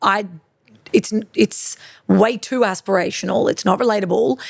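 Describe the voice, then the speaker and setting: An Australian woman, in an Australian accent, speaks at a fairly high pitch with an animated tone and lively intonation. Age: 30s. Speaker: fashion boutique owner. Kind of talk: interview conversation. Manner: loud and extroverted; fast, animated.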